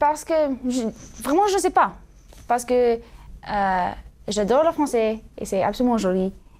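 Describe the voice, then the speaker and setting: A woman speaks at a fairly slow pace with a high pitch and an American accent. Her pitch swings very widely. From US, California, Sacramento. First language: English (speaking French). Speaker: student co-host of religious show. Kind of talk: casual interview chat. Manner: halting, many hesitations.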